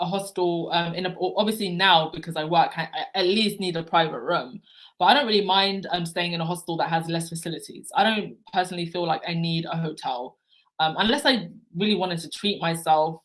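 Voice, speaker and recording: Fairly quick and fairly low in pitch, a woman speaks in an ordinary speaking voice with ordinary pitch variation. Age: 30s. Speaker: travel vlogger. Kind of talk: live stream Q&A chat. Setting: livestream with chat.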